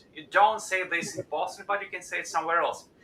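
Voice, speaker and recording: Over noticeable background noise, a man with a non-native accent projects a raised, high-pitched voice with ordinary pitch variation. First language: not English. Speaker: company CEO, stream host. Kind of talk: live stream interview. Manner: halting.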